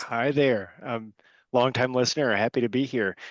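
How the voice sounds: Putting on a hoarse character voice, a man speaks at a medium pitch. His pace is moderate and his intonation fairly even.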